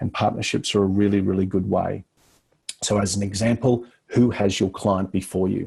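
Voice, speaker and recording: A dark, mellow, somewhat breathy tone in a flat monotone at a moderate pace. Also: man, fairly low pitch for a man. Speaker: business coach. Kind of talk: online course lecture.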